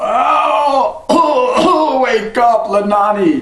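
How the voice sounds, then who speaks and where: A man uses a put-on character voice at an extremely high pitch. He speaks very slowly, with a slight echo. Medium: read story. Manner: drowsy muttering.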